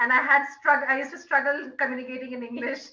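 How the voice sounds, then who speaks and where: In a raised, projected voice, a woman speaks at a high pitch with a bright, sharp tone and fairly even intonation. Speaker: French teacher, Toastmasters member. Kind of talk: short testimony speech.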